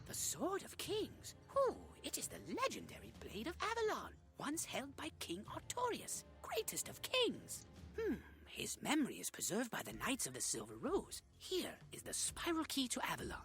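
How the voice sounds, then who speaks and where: At a moderate pace, someone performs a put-on character voice over clear background noise. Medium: video game. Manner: gruff, fussy.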